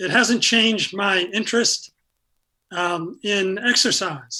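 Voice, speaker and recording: Projecting loudly, a man with an American accent speaks in a high voice. His tone is bright and sharp, with ordinary pitch variation. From upstate New York (Syracuse). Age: 70s. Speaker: retired pickleball player with Parkinson's. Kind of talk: interview. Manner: halting, many fillers.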